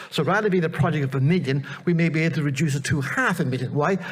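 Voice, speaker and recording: A man speaks very fast, fairly high in pitch, with ordinary pitch variation, while noticeable background noise plays behind him. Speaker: project presenter, researcher. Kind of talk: conference presentation. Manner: animated.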